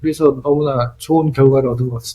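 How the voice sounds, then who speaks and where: A man talks with a Korean accent. His voice is somewhat breathy. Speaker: film director. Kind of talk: interview.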